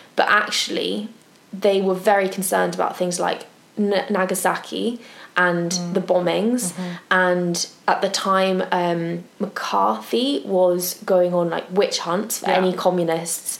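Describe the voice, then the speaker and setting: This woman has a normal speaking voice, medium in pitch with ordinary pitch variation. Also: fairly slow pace. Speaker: podcast co-host. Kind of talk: casual chat.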